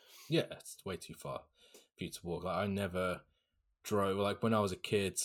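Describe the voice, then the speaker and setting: A man with a southern English accent and a fairly low pitch. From southern England, Hampshire. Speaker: guest, student. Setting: remote call from the UK, night.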